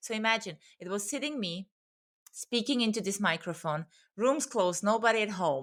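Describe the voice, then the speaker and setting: With a non-native accent and a medium pitch, a woman talks at a fairly quick pace in lively intonation, broken by long, frequent pauses, on a very clean recording with a silent background. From immigrant family, not US, Canada or Australia. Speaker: business strategist and mindset coach. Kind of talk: podcast interview. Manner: earnest, animated.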